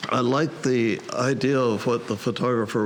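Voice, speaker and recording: A man speaks fairly slowly at a medium pitch. Noticeable background noise runs under his voice. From US South. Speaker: photography contest judge. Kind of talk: critique of photographs. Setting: camera club meeting. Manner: halting, repeats words.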